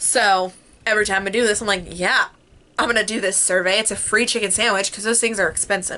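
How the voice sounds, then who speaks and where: A woman's fairly high, animated voice amid noticeable background noise. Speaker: vlogger. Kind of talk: casual chat. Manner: fast.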